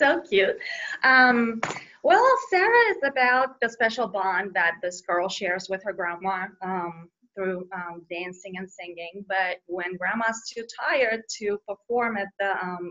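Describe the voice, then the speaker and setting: In a Bulgarian accent, a woman speaks at a fairly slow pace with a medium pitch and ordinary pitch variation. Her loudness swings widely. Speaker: children's book author. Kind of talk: interview. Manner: hesitant, many fillers.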